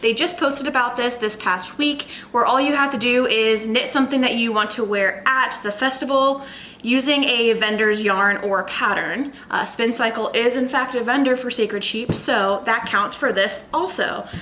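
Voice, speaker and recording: A high-pitched woman's voice at very even loudness, with audible room echo and noticeable background noise. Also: ordinary pitch variation, moderate pace. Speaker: knitting podcaster. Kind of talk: casual chat. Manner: animated.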